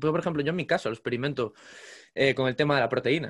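A man talks in an unremarkable speaking voice, fairly high in pitch with ordinary variation. The background is quiet. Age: 20s. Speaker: podcast host. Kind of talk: casual interview.

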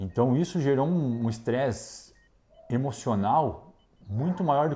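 With lively intonation and a dark, mellow tone, a man talks at a moderate pace. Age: 30s. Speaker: intensive care doctor. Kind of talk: interview testimony.

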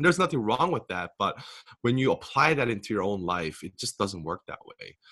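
A man with a Korean accent, a medium pitch and a bright, sharp tone, at a fairly quick pace with very wide pitch swings. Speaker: author and speaker. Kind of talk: interview.

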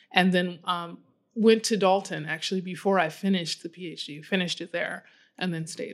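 A woman with an American accent and an ordinary speaking voice talks at a medium pitch and fairly quick pace, with fairly even intonation. Her loudness swings widely in a very clean recording with a silent background. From US Midwest, Chicago. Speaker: head of school. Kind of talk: interview.

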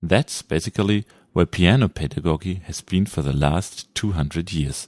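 In a German accent, the speaker uses lively intonation, recorded with a dry, close sound with no echo on a very clean recording with a silent background. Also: man. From Germany. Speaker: audiobook narrator. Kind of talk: reading aloud.

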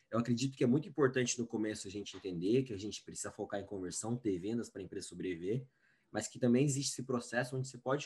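This man has a medium-pitched, somewhat breathy voice with ordinary pitch variation. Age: 20s. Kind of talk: interview.

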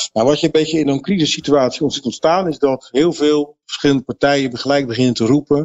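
Very fast speech with hardly any pauses and fairly even intonation. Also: man, fairly high pitch for a man. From Netherlands, Rotterdam area (Vlaardingen). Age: 50s. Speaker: market researcher. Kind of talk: interview.

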